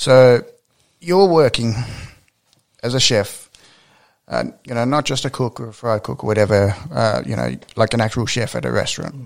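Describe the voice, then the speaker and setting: A man's medium-pitched voice in an Australian accent, moderate pace with long, frequent pauses, ordinary pitch variation and big swings in loudness. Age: 20s. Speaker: podcast host and professional wrestler. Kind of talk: casual interview.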